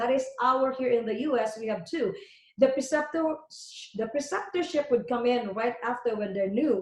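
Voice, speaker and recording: Speaking at a moderate pace, a woman uses an animated tone and lively intonation, with a Filipino accent. Her pitch is high, and the room echo is audible. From Philippines (Leyte, Visayas). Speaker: emergency nurse and nursing educator. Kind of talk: webinar presentation. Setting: online webinar.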